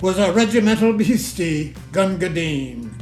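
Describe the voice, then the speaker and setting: A man speaks. Music plays in the background. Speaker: poetry reader. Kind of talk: poetry reading.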